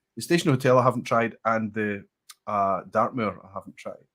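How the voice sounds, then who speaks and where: Someone with a Scottish accent talks at a fairly quick pace on a very clean recording with a silent background. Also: man. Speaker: whisky streamer. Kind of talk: casual chat.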